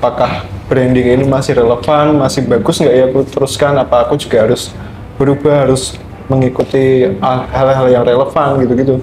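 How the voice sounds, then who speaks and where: Over noticeable background noise, a man talks fairly quickly at a medium pitch, his intonation monotone and flat and his loudness very even. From Indonesia, outside Java. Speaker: student guest speaker. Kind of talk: podcast discussion.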